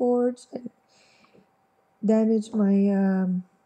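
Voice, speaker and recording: Somewhat breathy, the voice has a dark, mellow tone and fairly even intonation. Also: woman. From Quebec, Montreal. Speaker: vlogger. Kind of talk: personal testimony. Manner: halting, many fillers.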